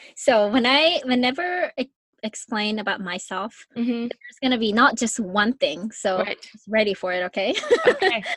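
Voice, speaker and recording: A woman speaks in a Japanese accent at a fairly high pitch and a moderate pace. Her intonation is lively, and the sound is dry and close with no echo. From Japan, Yokohama. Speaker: podcast host and life coach. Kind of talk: casual interview.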